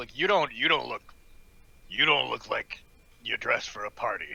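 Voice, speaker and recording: A man does a put-on character voice that sounds raspy, at a moderate pace. The sound is dry and close, with no echo. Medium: actual play. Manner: brash, crude, casual.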